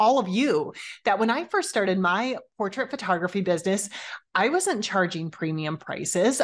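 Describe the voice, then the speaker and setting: A woman at a moderate pace, pitch swinging very widely, quiet background. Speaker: podcast host. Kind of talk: podcast monologue. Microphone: studio mic.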